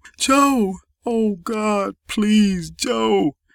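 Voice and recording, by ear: A man's put-on character voice, high-pitched and fairly bright, with vocal fry, ordinary pitch variation and a very slow pace, in a dry, close sound with no echo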